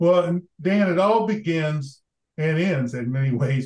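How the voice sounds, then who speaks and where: A somewhat breathy male voice. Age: old. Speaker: former diplomat and development leader. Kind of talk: interview conversation.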